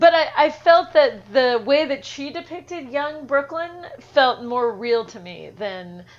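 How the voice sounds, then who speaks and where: Very slowly, a woman with an American accent speaks in a high pitch, her voice making very wide pitch swings and big swings in loudness. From New York. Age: 30s. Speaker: screenwriter and novelist. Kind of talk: casual chat.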